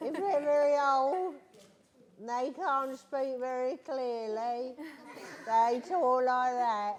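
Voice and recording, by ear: Using a put-on character voice, a woman speaks very slowly in a shaky, high-pitched voice.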